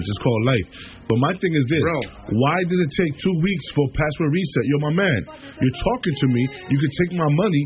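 In an American accent, a man with a fairly high pitch speaks at a moderate pace with lively intonation over noticeable background noise. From New York. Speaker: radio show host. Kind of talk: casual radio talk show chat.

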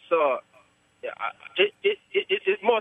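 A man speaks with lively intonation. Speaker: truck driver. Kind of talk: casual phone call. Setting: phone call.

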